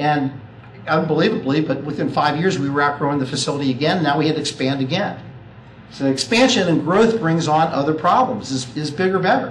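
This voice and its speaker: Speech at a fairly quick pace with ordinary pitch variation, amid noticeable background noise and audible room echo. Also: man. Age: 50s. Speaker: accountant and family business advisor. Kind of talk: talk to an audience.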